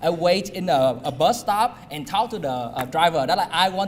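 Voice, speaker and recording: A man with a fairly high voice speaks with a Vietnamese accent. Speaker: community college alumnus speaker. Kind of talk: personal testimony speech. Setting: alumni dinner event with audience. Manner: halting, many fillers.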